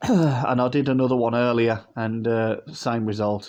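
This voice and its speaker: A man with a British accent, medium pitch and fairly even intonation, against a quiet background. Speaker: model aircraft collector, YouTuber. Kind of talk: unboxing review. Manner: casual, hesitant.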